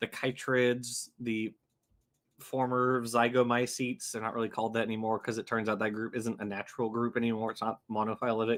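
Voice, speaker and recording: With a Louisiana accent, a man speaks fairly quickly at medium pitch in monotone, flat intonation, on a very clean recording with a silent background. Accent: Louisiana Southern. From US South, Louisiana. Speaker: science YouTuber, livestream host. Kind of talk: casual livestream chat about biology. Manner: halting, many fillers.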